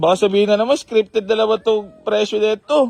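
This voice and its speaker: A man talks loudly and very fast at a high pitch with ordinary pitch variation. The sound is dry and close, with no echo. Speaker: used car dealer and vlogger. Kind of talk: vlog address to viewers; casual haggling chat. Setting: garage, outdoors. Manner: animated.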